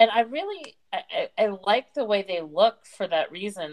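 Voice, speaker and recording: With ordinary pitch variation, a woman uses a normal speaking voice at a moderate pace. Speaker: podcast host. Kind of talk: interview conversation.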